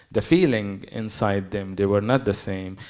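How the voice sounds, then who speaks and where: A dark, mellow tone in a Palestinian accent, with ordinary pitch variation. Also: man. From Gaza, Palestine. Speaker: poet. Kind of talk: panel talk.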